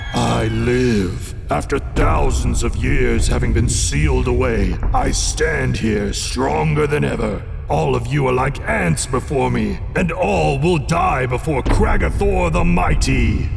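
Over loud background noise, a man talks in a put-on character voice at a fairly slow pace. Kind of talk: comic fantasy audio drama. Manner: grandiose then sheepish and friendly.

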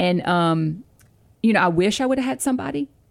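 At a moderate pace and with lively intonation, this is an ordinary speaking voice on a very clean recording with a silent background. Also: woman. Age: 40s. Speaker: pastor's wife, author and podcast co-host. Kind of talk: casual chat.

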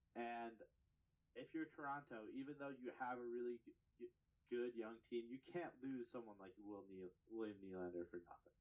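A man uses an ordinary speaking voice at a medium pitch, talking at a moderate pace with ordinary pitch variation. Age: 20s. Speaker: hockey podcast co-host. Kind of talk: casual chat.

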